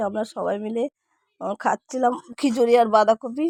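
With a dry, close sound and no echo, a woman speaks in a dark, mellow tone at a fairly high pitch, her intonation monotone and flat. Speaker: vlogger. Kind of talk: casual vlog narration. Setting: outdoors at village cremation ground festival.

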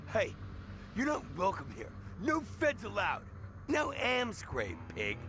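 In a cartoonish character voice, a man speaks slowly at a high pitch with very wide pitch swings.

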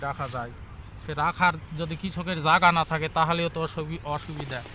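There is noticeable background noise as a man speaks at a fairly high pitch with fairly even intonation. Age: 60s. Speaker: potato farmer. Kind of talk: interview.

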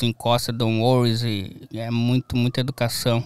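In a southern Brazilian accent, a man talks at a very slow pace and medium pitch, the sound dry with no echo against a quiet background. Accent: gaúcho Brazilian Portuguese. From southern Brazil, Rio Grande do Sul (near Uruguay). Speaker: graphic designer; interview guest. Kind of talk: casual chat. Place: studio. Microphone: studio mic.

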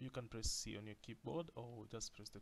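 Vocal fry marks a man's medium-pitched voice as he talks at a moderate pace. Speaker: design tutorial creator. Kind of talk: tutorial. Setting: screen recording at a computer. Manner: excitable.

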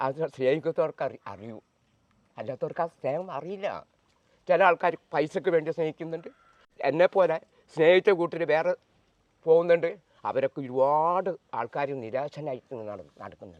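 Heard in a dry, close sound with no echo, a man has a plain, everyday voice with a fairly high pitch, ordinary pitch variation and big swings in loudness. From Kerala, Aluva/Nedumbassery (Ernakulam). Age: 50s. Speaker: manual worker interviewed about his life. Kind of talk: personal life story interview.

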